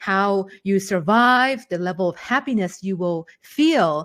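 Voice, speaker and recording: A woman's animated voice at medium pitch, in a Thai accent. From Thailand. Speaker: English teacher. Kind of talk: online webinar teaching. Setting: online webinar.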